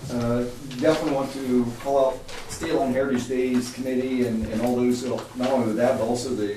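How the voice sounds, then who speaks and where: A medium-pitched man at a moderate pace, with audible room echo and noticeable background noise. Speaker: city council meeting chair. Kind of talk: council meeting.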